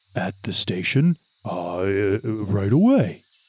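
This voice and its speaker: Using a put-on character voice, a man speaks fairly low in pitch. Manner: polite, genteel, flustered.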